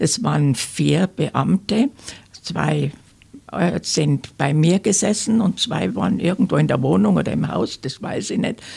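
Pitched very deep and low, a woman speaks at a fairly slow pace with very wide pitch swings. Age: 80s+. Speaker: fraud victim, senior council speaker. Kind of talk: interview testimony. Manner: halting, many filler sounds.

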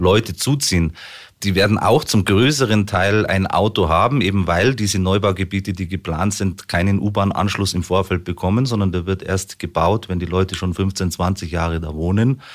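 A man's very deep, low voice at a moderate pace, with ordinary pitch variation, on a very clean recording with a silent background. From Munich, Bavaria. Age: 40s. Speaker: local politician and business owner. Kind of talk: radio interview. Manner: hesitant, frequent fillers.

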